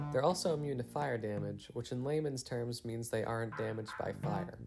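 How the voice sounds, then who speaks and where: With music in the background, a man speaks at a medium pitch and a fairly quick pace, with ordinary pitch variation. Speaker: video game reviewer. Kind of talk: casual commentary narration.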